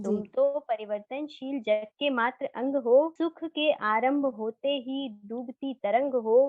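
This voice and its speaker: A woman with a high pitch speaks with hardly any pauses. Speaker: poet. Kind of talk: poetry reading.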